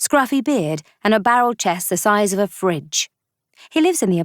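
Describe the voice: Plain read-aloud delivery, lively in intonation, against quiet surroundings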